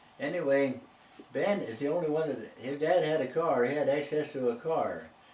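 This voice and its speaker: Noticeable background noise and audible room echo surround a man with an American accent who speaks at a moderate pace in a fairly high pitch. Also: ordinary pitch variation. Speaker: elderly interviewee recalling town history. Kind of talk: reminiscing interview conversation. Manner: halting.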